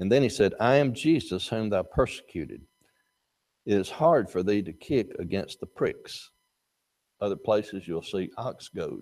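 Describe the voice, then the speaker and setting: A man with an Alabama accent, a medium pitch, lively intonation and a moderate pace. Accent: Southern US (Alabama). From US South, North Alabama. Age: 70s. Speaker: Bible class teacher. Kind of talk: Bible class lecture.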